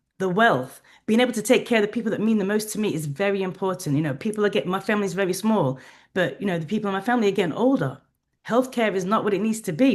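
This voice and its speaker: Against a quiet background, a woman at a medium pitch speaks at a very fast pace. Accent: English. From England. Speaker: HR professional and travel business owner. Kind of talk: interview.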